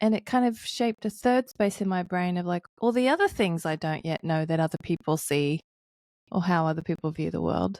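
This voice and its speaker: This woman has an Australian accent and a fairly low pitch. Her pitch varies in an ordinary way. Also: dry, close sound with no echo. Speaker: pastor and author. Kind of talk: podcast interview.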